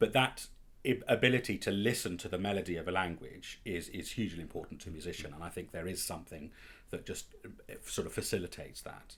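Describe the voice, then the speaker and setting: At a very fast pace, the speaker shows ordinary pitch variation and big swings in loudness. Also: man, very deep, low pitch for a man. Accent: London. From northwest London, England. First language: Italian. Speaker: opera and song singer (tenor). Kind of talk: interview. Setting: at home.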